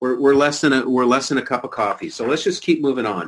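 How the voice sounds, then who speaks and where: A man speaks at a medium pitch. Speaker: stock newsletter trader. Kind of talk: investment presentation. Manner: fast; animated.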